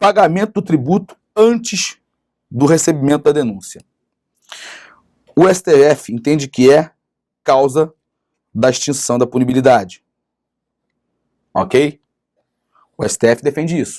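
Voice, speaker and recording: A man's fairly high-pitched voice with a dark, mellow tone, lively intonation, a fairly slow pace and long, frequent pauses, in dry, close sound with no echo. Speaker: law teacher. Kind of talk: lecture. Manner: animated.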